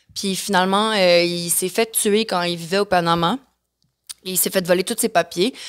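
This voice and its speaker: On a very clean recording with a silent background, a woman speaks at a medium pitch. Her pace is moderate and her intonation fairly even. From Mexico and the Caribbean, of Quebec descent. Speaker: singer, former reality TV contestant. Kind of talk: podcast interview. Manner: hesitant, many fillers.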